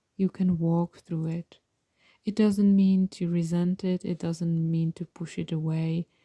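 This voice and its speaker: A woman with a non-native accent, somewhat breathy, with a dark, mellow tone, fairly low pitch, monotone, flat intonation and a very slow pace in a dry, close sound with no echo. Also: very clean recording, silent background. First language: not English. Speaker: tarot reader and mindfulness teacher. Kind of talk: pick a card tarot reading. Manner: calm, gentle; halting, self-correcting.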